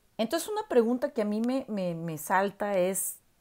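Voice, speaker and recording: Against a quiet background, a woman talks with very wide pitch swings. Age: 40s. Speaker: university professor; commentator reviewing a documentary. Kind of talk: video commentary monologue. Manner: hesitant, many filler words. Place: home room. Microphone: earbuds.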